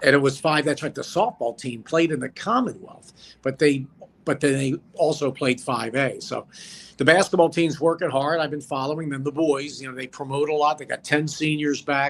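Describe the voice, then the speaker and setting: A man speaks in a plain, everyday voice at a fairly high pitch. His pace is moderate and his intonation fairly even. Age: 60s. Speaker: former sports broadcaster. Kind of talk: casual chat.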